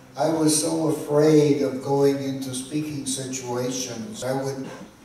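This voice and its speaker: Through audible room echo and noticeable background noise, a man speaks at a fairly slow pace with a fairly high pitch and fairly even intonation. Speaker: speaker sharing story of stuttering. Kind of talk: testimony. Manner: halting.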